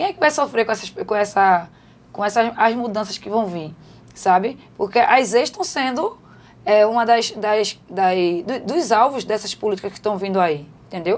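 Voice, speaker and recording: Lively in intonation, a woman with a fairly high pitch speaks at a moderate pace. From Recife, Pernambuco, Brazil. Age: 40s. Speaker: city councillor and housing activist. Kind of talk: podcast interview. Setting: studio. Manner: halting, many repetitions.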